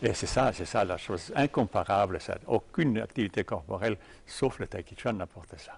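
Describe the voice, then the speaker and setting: A man's fairly low, somewhat breathy voice shows ordinary pitch variation and big swings in loudness. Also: moderate pace. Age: old. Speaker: tai chi teacher. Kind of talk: interview. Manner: halting.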